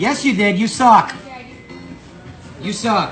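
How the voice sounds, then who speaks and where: Shouting loudly at a high pitch, a man is heard with audible room echo and noticeable background noise. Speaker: customer filming confrontation. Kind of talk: heated argument. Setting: fast-food restaurant. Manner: yelling.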